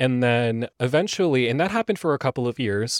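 Here a man speaks with an American accent at a medium pitch. He talks at a fairly quick pace. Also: very clean recording, silent background. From US West Coast, Los Angeles. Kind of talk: casual chat. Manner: animated.

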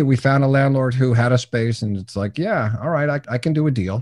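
Against a quiet background, a man of medium pitch talks at a fairly quick pace in a dark, mellow tone. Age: 60s. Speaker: business coach. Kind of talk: interview.

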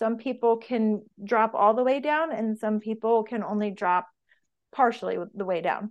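A woman speaks at a moderate pace with a fairly high pitch. She has an ordinary speaking voice with ordinary pitch variation. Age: 40s. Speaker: personal trainer and business owner. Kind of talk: interview.

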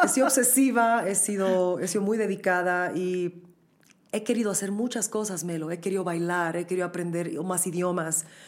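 A woman talks at a moderate pace and medium pitch with ordinary pitch variation. She has an ordinary speaking voice. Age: young. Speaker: podcast host and opera singer. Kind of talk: interview.

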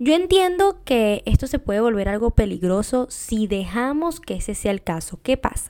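A woman speaks at a moderate pace with hardly any pauses, her pitch swinging very widely. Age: 20s. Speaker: podcast host. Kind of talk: casual monologue.

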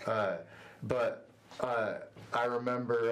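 Amid audible room echo, a man with an American accent speaks very slowly at a medium pitch. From Northwest Ohio, US. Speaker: youth ministry worker. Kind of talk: casual interview. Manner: halting, many fillers.

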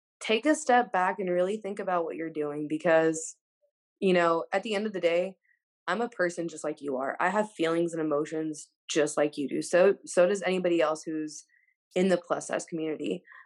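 Against a quiet background, a woman with an American accent and an ordinary speaking voice talks at a fairly quick pace, fairly low in pitch, with ordinary pitch variation. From Texas, Wichita Falls. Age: 20s. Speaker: guest speaking about weight struggles. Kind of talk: casual chat.

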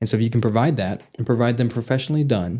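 Moving at a fairly quick pace, a man speaks in a dark, mellow tone of medium pitch with ordinary pitch variation. The recording is very clean, with a silent background. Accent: Texan. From Vernon, Texas. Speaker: novelist and repair business owner. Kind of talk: interview.

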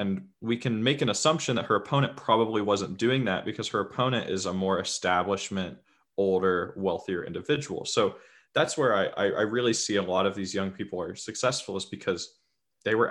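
Recorded very cleanly against a silent background, a man with a fairly low pitch speaks at a fairly quick pace with ordinary pitch variation. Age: 20s. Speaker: podcast host and political campaigner. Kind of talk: casual interview.

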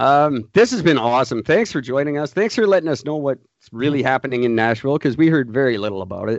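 With lively intonation, a man talks at a very fast pace and a medium pitch. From Canada. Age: 40s. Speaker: podcast host.

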